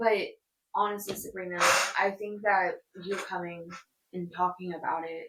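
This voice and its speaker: Flat, monotone intonation with big swings in loudness and long, frequent pauses. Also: woman, medium pitch for a woman, moderate pace. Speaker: podcast host. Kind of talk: casual chat. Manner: stutter.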